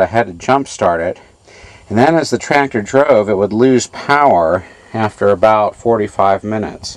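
A man talks at a moderate pace with a fairly low pitch. The sound is dry, with no echo. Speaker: tractor owner doing repairs. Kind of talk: tutorial. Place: farm machine. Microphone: phone near.

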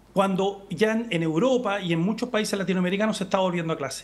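Here a man speaks with a high pitch. His pace is very fast. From Chile. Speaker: member of parliament; politician guest. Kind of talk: political interview. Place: home room. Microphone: video call.

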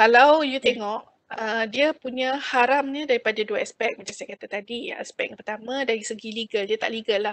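A woman at a fairly quick pace with hardly any pauses, big swings in loudness and fairly even intonation, dry with no echo over a quiet background. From Malaysia. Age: 50s. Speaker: financial planner and credit talk speaker; speaker. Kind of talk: webinar talk. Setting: video call. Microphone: video call.

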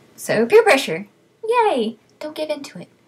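With an American accent, a woman talks in a somewhat breathy way. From South Texas. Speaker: vlogger. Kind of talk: casual vlog, reading word list. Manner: many fillers (um, uh). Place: home room. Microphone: webcam.

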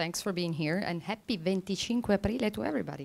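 A woman talks at a fairly quick pace. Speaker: academic panel chair. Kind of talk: conference panel introduction. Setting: conference room with audience. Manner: formal. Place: hall. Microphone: podium.

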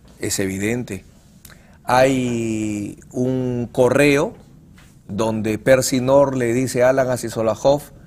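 This man speaks with fairly even intonation. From Peru. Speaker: criminal lawyer. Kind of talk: TV interview. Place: studio.

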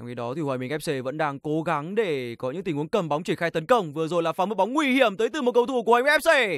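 The tone is animated and the pace very fast. The recording is very clean with a silent background. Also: hardly any pauses. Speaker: football commentator. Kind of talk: live football commentary. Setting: stadium broadcast. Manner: animated, fast, punchy bursts on chances; formal, polite broadcaster address.

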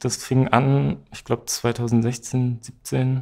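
The speaker is male. Nothing much sounds behind him. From northwestern Germany, Osnabrück; northwestern Germany. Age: 20s. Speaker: social work student; interviewee. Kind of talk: interview. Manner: hesitant, many fillers. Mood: relaxed, smiling.

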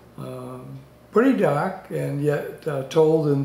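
A man's voice carries audible room echo. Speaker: book reviewer. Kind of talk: book review talk to camera. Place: home room. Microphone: webcam.

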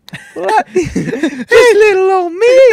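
In a squeaky, put-on character voice, a woman speaks at an extremely high pitch with very wide pitch swings. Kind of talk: casual podcast chat. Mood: joking, relaxed.

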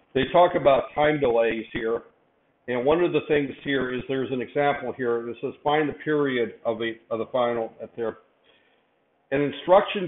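A man speaks at a moderate pace with ordinary pitch variation, and the room echo is audible. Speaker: university lecturer. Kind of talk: lecture. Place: classroom.

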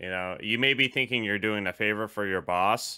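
The background stays quiet. Words come at a fairly quick pace. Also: man. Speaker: union delivery driver channel host. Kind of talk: casual interview. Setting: video call. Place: home room. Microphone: studio mic.

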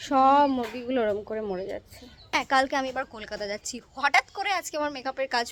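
In a dry, close sound with no echo, a woman talks with a high pitch and lively intonation. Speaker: vlogger. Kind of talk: casual vlog narration.

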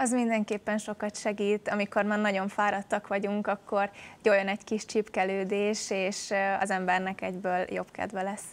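At a moderate pace, a woman speaks in a monotone, flat intonation. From Hungary. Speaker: handball player. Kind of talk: interview. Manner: articulate. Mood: cheerful, smiling. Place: studio. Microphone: lapel.

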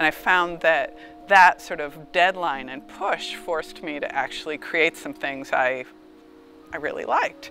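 Faint music plays behind a woman speaking at a fairly slow pace. Her sound is dry, with no echo. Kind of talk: interview answer. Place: garden. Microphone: lapel.

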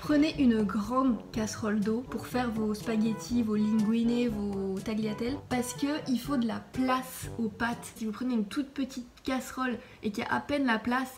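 Clear music plays behind a woman whose intonation is fairly even. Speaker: home cook vlogger. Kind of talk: casual cooking tutorial. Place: kitchen. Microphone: phone near.

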